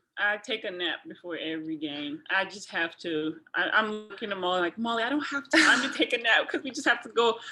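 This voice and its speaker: Noticeable background noise accompanies speech with very wide pitch swings. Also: woman. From Nigeria, Lagos. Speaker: college basketball player. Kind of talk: interview. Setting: video call.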